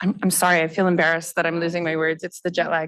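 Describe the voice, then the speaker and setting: A woman speaking at a fairly quick pace. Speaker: civil society leader and former legislator. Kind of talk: panel discussion. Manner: halting, searching for words.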